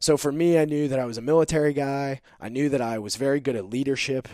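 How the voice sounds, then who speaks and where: Speaking at a fairly quick pace, a man with a normal speaking voice keeps to a medium pitch and ordinary pitch variation. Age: 30s. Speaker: army veteran and entrepreneur. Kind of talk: interview.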